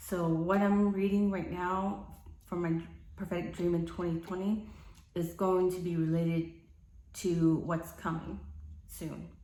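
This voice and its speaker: In a room with audible echo, a woman with a fairly low pitch speaks at a fairly slow pace in a monotone, flat intonation, leaving long, frequent pauses. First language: not English. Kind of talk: personal testimony to camera. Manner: halting, many fillers.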